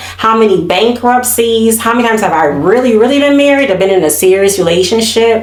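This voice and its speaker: An animated tone with lively intonation, a fairly quick pace, hardly any pauses and very even loudness, amid noticeable background noise and audible room echo. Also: woman. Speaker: YouTube commentary host. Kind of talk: casual chat.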